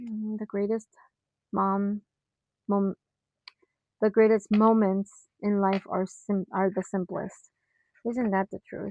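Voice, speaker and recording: Quiet and very slow, a woman speaks in a monotone, flat line at medium pitch with a dark, mellow tone, long, frequent pauses, and a dry, close sound with no echo. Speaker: planner hobbyist YouTuber. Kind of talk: casual craft tutorial, thinking aloud. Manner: halting.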